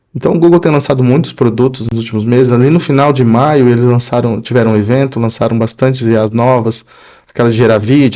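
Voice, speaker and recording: Here is a man with a dark, mellow tone at a medium pitch. He moves at a fairly quick pace with ordinary pitch variation. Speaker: tech vlogger, programmer. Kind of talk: casual video blog.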